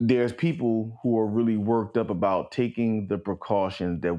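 Talking fairly quickly, a man lets his intonation rise and fall in a lively way. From Los Angeles, Crenshaw area. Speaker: podcast guest and recurring co-discussant. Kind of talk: casual chat.

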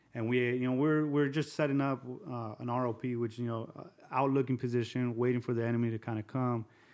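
Speaking fairly quickly with an American accent, a man holds a medium pitch in a monotone, flat delivery. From Southern California (Covina, San Gabriel Valley). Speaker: army veteran. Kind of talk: testimony.

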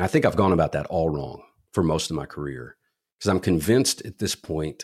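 In an American accent, the voice has vocal fry and sits on a very clean recording with a silent background. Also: man. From Kentucky, small town. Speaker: commercial real estate CEO and instructor, former Marine. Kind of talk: interview.

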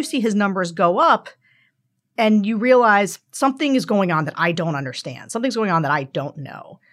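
At a moderate pace and a medium pitch, a woman with an American accent speaks in an ordinary speaking voice with lively intonation, captured in a very clean recording with a silent background. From central Pennsylvania, rural. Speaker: political strategist. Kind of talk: interview conversation.

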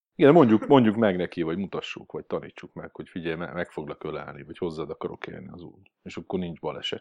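With lively intonation and big swings in loudness, a man talks at a very fast pace, with hardly any pauses. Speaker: dog trainer. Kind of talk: casual chat.

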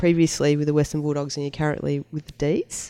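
A woman speaks with an Australian accent. Her tone is dark and mellow. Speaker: podcast host. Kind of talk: casual chat.

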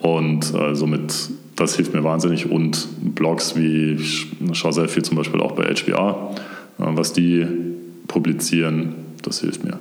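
A man with a very deep, low pitch talks very slowly in a flat monotone, leaving long, frequent pauses. Noticeable background noise and audible room echo surround him. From Swabia, near Stuttgart. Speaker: brand manager at a software startup. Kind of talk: interview.

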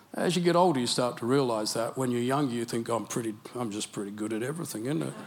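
A man with an Australian accent, talking very fast with lively intonation. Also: medium pitch for a man. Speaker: preacher. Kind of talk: sermon. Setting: church.

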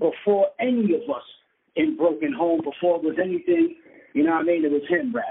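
A man with a New York accent speaks at a moderate pace, his pitch swinging very widely. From New York City (Brooklyn and Queens). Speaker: rapper. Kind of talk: casual interview. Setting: phone call.

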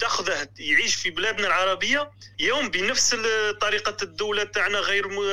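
This man's voice sits high in pitch and is raised and projected. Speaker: caller, student living in the West. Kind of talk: phone-in call.

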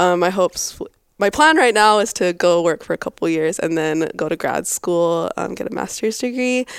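On a very clean recording with a silent background and a dry, close sound with no echo, a woman with an American accent uses an ordinary speaking voice at a medium pitch, with ordinary pitch variation, a moderate pace and hardly any pauses. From US, Boise, Idaho. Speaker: engineering student. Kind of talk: casual interview chat.

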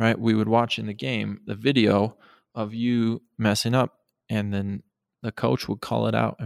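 Ordinary pitch variation marks a normal speaking voice at a moderate pace. The recording is very clean, with a silent background. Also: man. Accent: American. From Montana. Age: 30s. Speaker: archaeologist and museum curator. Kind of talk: interview.

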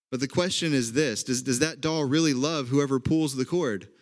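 A fairly quick delivery in an Oklahoma accent. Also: man. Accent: Oklahoma Southern-leaning American. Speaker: pastor. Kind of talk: sermon. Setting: online church service.

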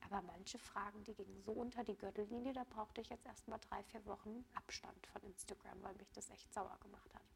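An unremarkable speaking voice, a woman's, fairly high in pitch with fairly even intonation. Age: 20s. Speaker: cancer patient. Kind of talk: interview.

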